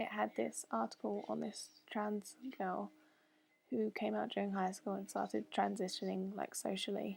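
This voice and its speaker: A woman speaks at a moderate pace with a British accent. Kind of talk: casual talk to camera. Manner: hesitant, lots of fillers.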